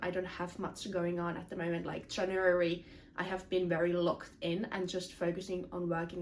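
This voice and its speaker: Noticeable background noise sits behind the speech. A woman talks at a moderate pace with a medium pitch. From Finland. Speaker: self-improvement content creator. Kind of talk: casual vlog talk to camera.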